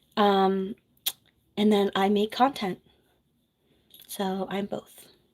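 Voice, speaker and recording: Soft-spoken and monotone, a woman with an American accent talks at a very slow pace with flat intonation. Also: medium pitch for a woman. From New Jersey. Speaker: nurse and content creator. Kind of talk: casual livestream chat. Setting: home office livestream.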